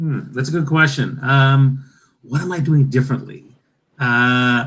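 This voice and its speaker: A man speaks at a medium pitch in a flat, monotone delivery. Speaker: keynote speaker and storytelling coach. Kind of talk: interview. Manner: fast.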